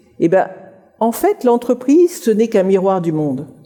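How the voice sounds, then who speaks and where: The woman's voice sits at a medium pitch. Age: 60s. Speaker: writer giving a career talk. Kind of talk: conference talk.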